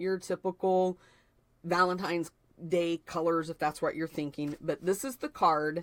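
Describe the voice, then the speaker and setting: On a very clean recording with a silent background, a woman speaks at a moderate pace in a dry, close sound with no echo. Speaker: paper craft demonstrator. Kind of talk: live stream chat. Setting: live video stream. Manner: animated.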